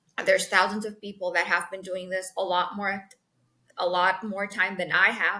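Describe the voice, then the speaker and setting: A woman with a bright, sharp tone and medium pitch speaks at a moderate pace. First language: Spanish. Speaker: sales executive. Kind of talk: interview. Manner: animated.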